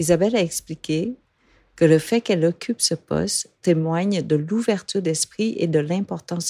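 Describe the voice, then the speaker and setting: On a very clean recording with a silent background and a dry, close sound with no echo, a woman speaks at a moderate pace in a dark, mellow tone with a fairly low pitch. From Vietnam. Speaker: podcast host. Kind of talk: scripted narration. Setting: studio.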